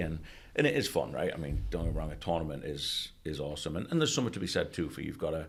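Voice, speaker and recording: This man talks at a very fast pace. He has an English accent. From England. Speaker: college soccer coach. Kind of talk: podcast interview. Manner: casual, conversational.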